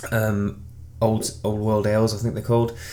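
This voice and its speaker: The speaker has an English accent. The tone is dark and mellow. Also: man. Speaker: beer reviewer. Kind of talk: casual product review. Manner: hesitant, many fillers.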